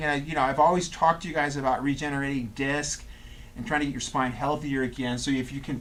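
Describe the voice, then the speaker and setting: Audible room echo surrounds a man who speaks very fast at a fairly high pitch. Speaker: chiropractor. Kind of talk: lecture.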